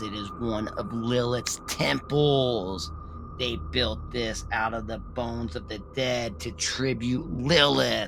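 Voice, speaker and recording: A man speaks in a put-on character voice at a medium pitch and a fairly slow pace. Loud background noise runs underneath. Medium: read story. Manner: calm, grave.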